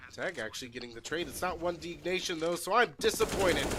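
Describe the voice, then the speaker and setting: Over noticeable background noise, a man with an American accent speaks in a high pitch. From United States. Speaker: esports caster. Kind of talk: live commentary. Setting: livestream. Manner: animated.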